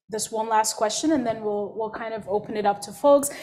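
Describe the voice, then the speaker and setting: With a non-native accent, a woman speaks in a fairly high voice. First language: not English. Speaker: workshop moderator. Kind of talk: panel discussion. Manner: hesitant, stammering repetitions.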